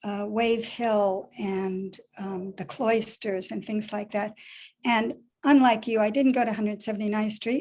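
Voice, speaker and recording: A woman with an American accent, a plain, everyday voice, fairly high pitch and fairly even intonation. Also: fairly slow pace. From New York City. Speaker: poet. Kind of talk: panel discussion after a poetry reading.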